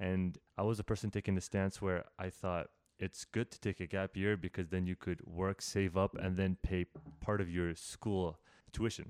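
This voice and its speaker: In a very clean recording with a silent background and a dry, close sound with no echo, a man with a Canadian accent and a very deep, low pitch speaks at a moderate pace in a monotone, flat intonation. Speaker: podcast host. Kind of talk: casual interview chat. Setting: in-person at guest's home. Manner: halting, bounces between ideas.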